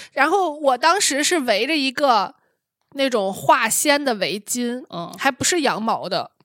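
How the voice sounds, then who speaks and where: The pace is fairly slow, and the pitch swings very widely. The recording is very clean, with a silent background. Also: woman, high pitch for a woman. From Shanxi. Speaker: podcast host. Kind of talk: casual chat.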